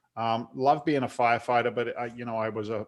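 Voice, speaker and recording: With an American accent, a man speaks at medium pitch and a fairly quick pace. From London, England. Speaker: real estate investor, former firefighter. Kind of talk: interview. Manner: talkative.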